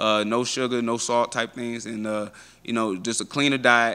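A man's bright, sharp voice with flat, monotone intonation. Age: 20s. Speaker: professional MMA fighter. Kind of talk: media interview. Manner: casual, filler-heavy. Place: hall. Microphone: handheld.

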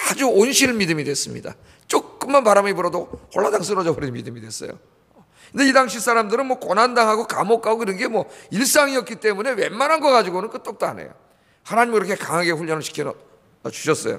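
Against a quiet background, a man talks very fast in a bright, sharp tone, his loudness swinging widely. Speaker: pastor. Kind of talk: sermon. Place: church. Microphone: podium.

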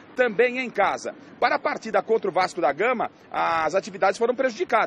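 A man talks at a fairly quick pace with a high pitch and lively intonation. The sound is dry with no echo, with light background noise. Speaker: TV sports reporter. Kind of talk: news report. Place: street. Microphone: handheld.

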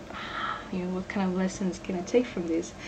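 A woman's voice over noticeable background noise. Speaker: game developer. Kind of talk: pre-recorded talk. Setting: home recording.

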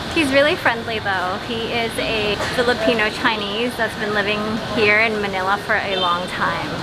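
A woman holds a moderate pace while loud background noise fills the recording. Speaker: travel food vlogger. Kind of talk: casual vlog chat. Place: market. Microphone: phone near.

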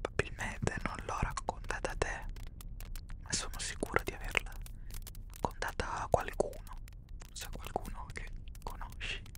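Whispering at a moderate pace, a man leaves long, frequent pauses while his loudness swings widely. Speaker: ASMR creator. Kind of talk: soft ASMR role-play talk. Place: home room. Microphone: studio mic.

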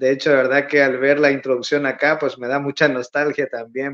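A man's voice, fairly high in pitch, comes through over a quiet background. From El Salvador, Santiago Texacuangos; El Salvador. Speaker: emigrant content creator. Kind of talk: casual interview. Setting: remote video call. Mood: warm, a bit nostalgic. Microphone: phone near.

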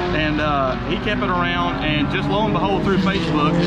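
Against loud background noise, a man speaks at a fairly quick pace. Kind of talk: interview answer. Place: garage. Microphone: phone near.

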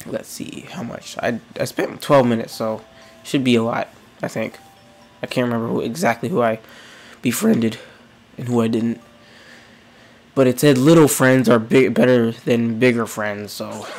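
Over background music, a man talks at a moderate pace with ordinary pitch variation. He leaves long, frequent pauses. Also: medium pitch for a man. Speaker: gaming youtuber. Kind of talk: let's play commentary.

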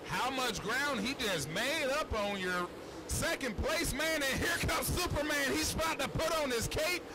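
A man's moderate-paced talk is set against noticeable background noise. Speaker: dirt track race announcer, color commentator. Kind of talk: live race announcing, play-by-play. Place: stadium.

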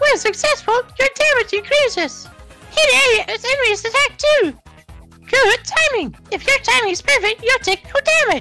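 Over faint music in the background, a put-on character voice comes out squeaky at an extremely high pitch. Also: moderate pace. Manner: cheerful, upbeat.

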